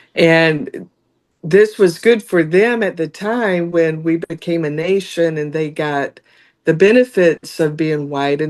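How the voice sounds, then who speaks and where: Against a quiet background, a woman with a slight Southern US accent speaks at a fairly slow pace, with a fairly low pitch and ordinary pitch variation. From US South. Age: 60s. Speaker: judicial candidate, lawyer. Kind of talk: interview.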